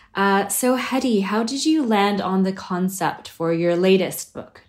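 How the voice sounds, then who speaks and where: A woman's normal speaking voice in an American accent, medium in pitch, at a fairly slow pace with lively intonation. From United States. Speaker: podcast host. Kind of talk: interview conversation.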